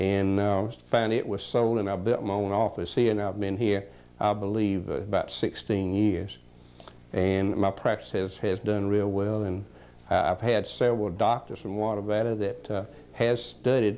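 The tone is dark and mellow. The intonation stays monotone and flat. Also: man, fairly low pitch for a man, moderate pace. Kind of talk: interview answer. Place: office.

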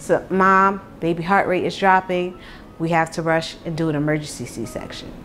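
A woman's fairly low voice at a moderate pace, fairly even in intonation, with music in the background. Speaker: pregnant vlogger. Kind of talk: casual vlog chat. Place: kitchen. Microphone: lapel.

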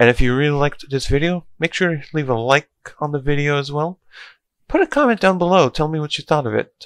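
At a fairly quick pace, a man speaks with ordinary pitch variation, the sound dry with no echo and the background quiet. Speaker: creepypasta youtuber. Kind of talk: casual vlog chat. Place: home room. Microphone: headset.

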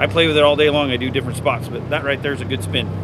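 A man speaks with ordinary pitch variation. The sound is dry with no echo, but there is noticeable background noise. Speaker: fishing guide. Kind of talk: tutorial. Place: boat. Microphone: lapel.

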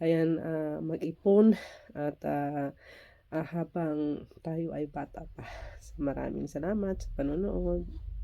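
Very slowly, a woman speaks with a very deep, low pitch, a dark, mellow tone, and fairly even intonation. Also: big swings in loudness. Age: middle-aged. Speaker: overseas Filipino worker vlogger. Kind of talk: reaction vlog. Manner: halting.

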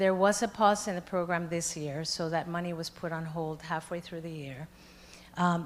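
In a Spanish accent, a woman talks at a moderate pace with fairly low pitch and fairly even intonation. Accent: noticeable Spanish-language. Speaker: education foundation representative. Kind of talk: board meeting presentation. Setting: public board meeting.

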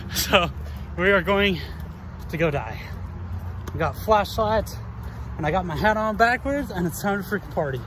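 Light background noise accompanies a man with a high pitch who speaks at a moderate pace with ordinary pitch variation and long, frequent pauses, the sound dry with no echo. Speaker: vlogger. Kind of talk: casual vlog chat. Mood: joking, mildly nervous. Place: tunnel cave. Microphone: phone near.

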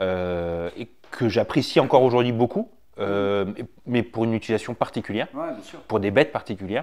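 This man talks at a fairly quick pace in a fairly low pitch with ordinary pitch variation. It is an ordinary speaking voice. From Africa. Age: 30s. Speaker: terrarium company co-owner. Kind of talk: casual interview. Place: home room.

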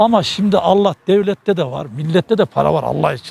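In a dry sound with no echo, a high-pitched man speaks with lively intonation. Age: 60s. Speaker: market shopper; interviewee. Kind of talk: street interview. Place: market.

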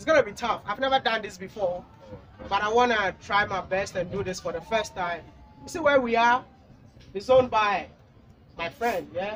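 The speech moves at a moderate pace with long, frequent pauses over light background noise. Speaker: YouTube content creator. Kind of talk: casual chat. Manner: animated. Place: bar. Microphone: camera far.

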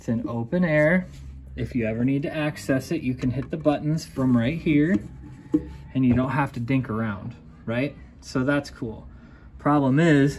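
With light background noise, a man speaks at a moderate pace, leaving long, frequent pauses. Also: ordinary pitch variation. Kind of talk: casual DIY commentary. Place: garage. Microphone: phone near.

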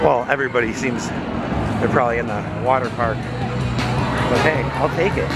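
Loud music plays in the background while the speech runs on with hardly any pauses. The sound is dry, without echo. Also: fairly slow pace. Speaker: theme park visitor vlogging a ride. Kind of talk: casual talk to camera. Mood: pleased, upbeat. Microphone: phone near.

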